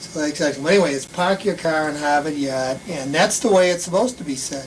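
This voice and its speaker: A very fast-talking man in a Boston accent, with noticeable background noise. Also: fairly high pitch for a man, ordinary pitch variation. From Boston area, Massachusetts. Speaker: school principal. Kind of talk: interview. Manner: casual, halting.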